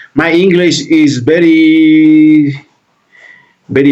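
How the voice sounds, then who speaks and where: Talking at a very slow pace, a man speaks with a Peruvian accent and ordinary pitch variation. Audible room echo surrounds his voice. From Peru, Lima. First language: Spanish. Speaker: reaction video creator. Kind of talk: reaction video commentary. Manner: halting.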